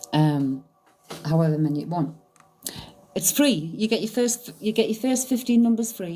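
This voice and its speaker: Very wide pitch swings at a moderate pace, with long, frequent pauses. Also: woman, medium pitch for a woman. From northern England, County Durham (Stanley). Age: 50s. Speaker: psychic medium, live streamer. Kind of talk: casual live stream chat. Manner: informal, uses local slang.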